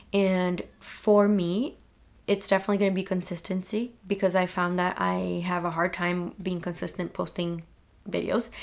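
Her intonation is flat, a monotone. The woman keeps to a moderate speed. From Brazil. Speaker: booktuber. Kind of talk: casual vlog monologue. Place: home room.

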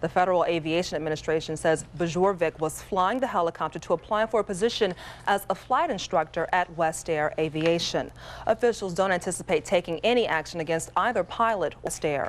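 A woman speaks in a normal speaking voice, fairly low pitched for a woman, at a fairly quick pace. Her pitch varies in an ordinary way and her loudness stays very even. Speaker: TV news anchor. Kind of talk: local TV news reading. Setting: TV studio. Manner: clear, even-paced anchor delivery.

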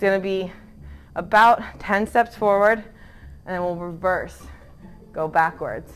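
A woman at a fairly slow pace with fairly even intonation, faint music in the background. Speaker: fitness instructor. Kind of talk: workout instruction. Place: gym.

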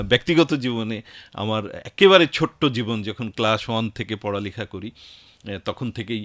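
A man with a plain, everyday voice talks at a medium pitch with ordinary pitch variation, in a very clean recording with a silent background and dry, close sound with no echo. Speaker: radio host and station chief. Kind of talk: radio interview. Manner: formal.

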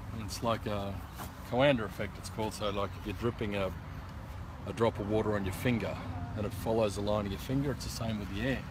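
The speech is very fast, with fairly even intonation. The sound is dry with no echo, and background noise is noticeable. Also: man, fairly low pitch for a man. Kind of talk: explanation to a visitor. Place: open country. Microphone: phone near.

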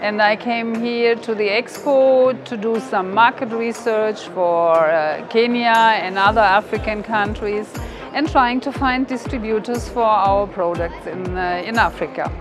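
Clear music plays in the background while a woman speaks at a fairly slow pace. Her pitch variation is ordinary, and the sound is dry with no echo. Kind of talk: interview answer. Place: hall.

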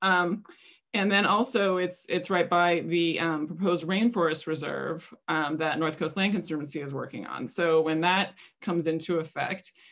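Here is a plain, everyday voice, a woman's, fairly low in pitch at a moderate pace. Her intonation stays fairly even over a quiet background. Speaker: guest. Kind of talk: presentation talk. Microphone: video call.

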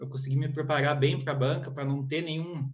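Against a quiet background, a man with a fairly high pitch sounds somewhat breathy. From Paraná, Brazil. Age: 30s. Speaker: exam candidate interviewee, public exam passer. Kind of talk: interview, casual conversation. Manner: halting, hesitant. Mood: relaxed, friendly. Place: home room. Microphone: video call.

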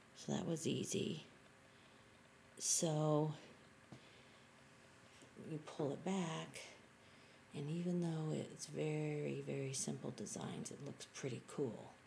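Soft-spoken, a woman talks at a very slow pace with long, frequent pauses over light background noise. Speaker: beginner art journaler. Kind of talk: casual talk to camera. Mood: enthusiastic, excited. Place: home room. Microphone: webcam.

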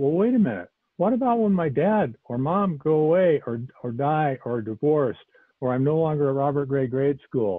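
This man has an American accent, a fairly high pitch and lively intonation at a moderate pace. The sound is dry with no echo, and the background is quiet. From US Pacific Northwest, Portland Oregon. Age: 60s. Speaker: Zen teacher. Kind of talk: dharma talk. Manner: halting. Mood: calm, earnest, searching. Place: home room. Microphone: earbuds.

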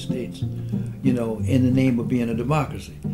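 Over clear music in the background, a man speaks at a fairly quick pace. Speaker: civil rights activist. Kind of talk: interview answer. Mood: calm, reflective, firm. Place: home room.

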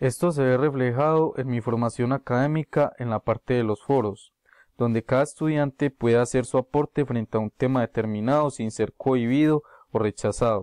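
The voice has fairly even intonation, with a dry sound with no echo and a quiet background. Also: man, medium pitch for a man, moderate pace. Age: 20s. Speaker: university student. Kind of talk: prepared class presentation. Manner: formal. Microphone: webcam.

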